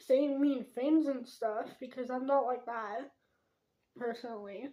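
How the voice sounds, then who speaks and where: A woman's high voice with fairly even intonation at a fairly slow pace. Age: 20s. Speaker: podcast host. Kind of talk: casual monologue. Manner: informal, many fillers. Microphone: poor quality mic.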